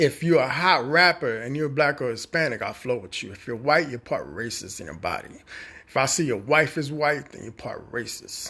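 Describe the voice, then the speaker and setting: In an American accent, a man talks at a moderate pace with a fairly high pitch, lively intonation, vocal fry and a bright, sharp tone. The recording is very clean with a silent background. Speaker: social media personality. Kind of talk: casual monologue rant.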